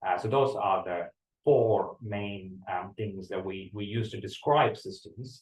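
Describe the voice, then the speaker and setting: A man's somewhat breathy voice at a fairly slow pace, with ordinary pitch variation. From India, Tamil-speaking. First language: Tamil. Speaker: university lecturer. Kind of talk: lecture. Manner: hesitant, many fillers and repetitions.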